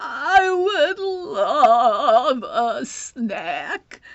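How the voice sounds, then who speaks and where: A put-on character voice pitched extremely high. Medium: read story. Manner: halting, stammering.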